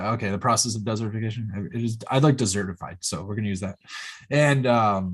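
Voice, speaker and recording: A man speaks at a very fast pace, somewhat breathy. The background is quiet. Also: ordinary pitch variation. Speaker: podcast host. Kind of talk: casual chat.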